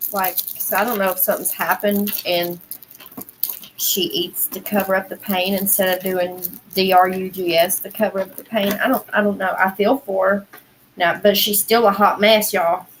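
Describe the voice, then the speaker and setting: A woman's medium-pitched, monotone, flat delivery at a moderate pace, with noticeable background noise. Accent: American. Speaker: livestream host. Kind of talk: casual chat. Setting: livestream.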